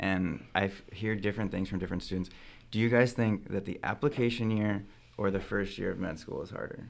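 With an American accent, a man speaks at a fairly quick pace in an ordinary speaking voice, fairly low in pitch with fairly even intonation. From central California. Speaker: medical student. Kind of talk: casual chat.

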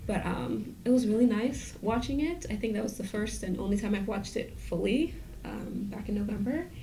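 With an American accent, a woman speaks at a moderate pace and a fairly high pitch, with ordinary pitch variation, hardly any pauses and noticeable background noise. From New York (Brooklyn). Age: 20s. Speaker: writer of the film's story. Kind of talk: interview.

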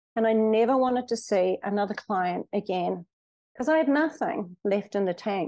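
Speaking in a New Zealand accent at a fairly quick pace, a woman has a medium pitch and a dark, mellow tone. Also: quiet background. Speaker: hypnotherapist. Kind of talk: interview.

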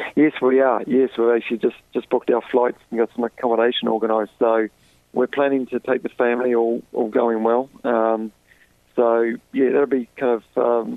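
With a New Zealand accent, a man talks at a medium pitch in a flat monotone, his loudness very even throughout. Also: moderate pace. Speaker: professional golfer. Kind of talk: interview. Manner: halting.

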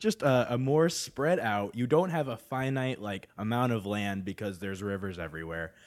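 In a plain, everyday voice, a man talks at a moderate pace and medium pitch with lively intonation, big swings in loudness and hardly any pauses. The recording is very clean, with a silent background. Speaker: podcaster guest. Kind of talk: casual chat.

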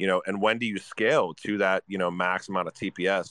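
In a quiet background, a man with a bright, sharp tone and fairly low pitch talks at a fairly quick pace. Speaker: guest.

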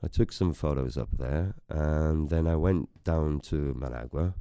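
Fairly slow in pace, the speech has a dark, mellow tone. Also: man. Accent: north Welsh. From north Wales. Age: 50s. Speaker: photographer. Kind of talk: interview.

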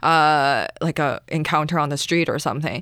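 A woman with a very deep, low pitch speaks at a fairly slow pace with fairly even intonation. The recording is very clean, with a silent background. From Asia, immigrated to Canada. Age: 20s. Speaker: stand-up comedian. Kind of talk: casual interview chat. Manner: low energy, mousy.

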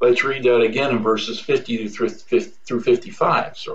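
A man talks fairly slowly, his intonation lively. His voice carries audible room echo. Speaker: pastor. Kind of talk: sermon. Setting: home office.

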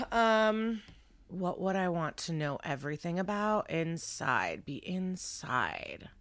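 In an American accent, a woman talks at a very slow pace and medium pitch, with ordinary pitch variation. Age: 30s. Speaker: stand-up comedian and podcast host. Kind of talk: casual interview chat.

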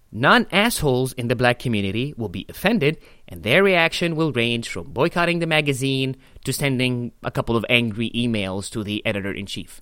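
Speaking with an Arabic accent, a man uses a bright, sharp tone at a medium pitch and a fairly quick pace. His intonation is lively, and the recording is very clean with a silent background. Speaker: podcast host, stand-up comedian. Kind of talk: casual chat.

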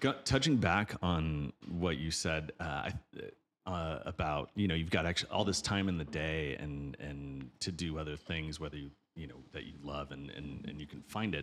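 Vocal fry runs through speech at a moderate pace, with big swings in loudness and ordinary pitch variation. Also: man, very deep, low pitch for a man. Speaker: podcast host. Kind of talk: casual interview chat.

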